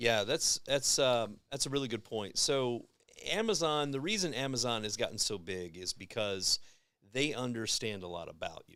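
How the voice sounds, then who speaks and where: Spoken at a moderate pace, the voice has lively intonation, a bright, sharp tone and big swings in loudness. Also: man, medium pitch for a man. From Kentucky. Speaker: advertising agency guest. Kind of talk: casual podcast chat. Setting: live-streamed podcast. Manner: animated.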